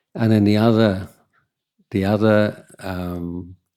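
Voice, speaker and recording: A man's dark, mellow voice with an English accent and monotone, flat intonation, in a very clean recording over a silent background. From England. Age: 60s. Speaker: Buddhist monk. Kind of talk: Q&A talk. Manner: halting.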